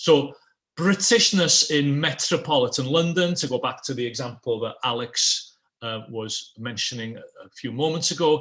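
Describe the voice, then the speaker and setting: A man's fairly high voice with ordinary pitch variation and big swings in loudness. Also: moderate pace. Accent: Welsh. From Wales. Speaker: political scientist. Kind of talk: online panel presentation. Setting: online event.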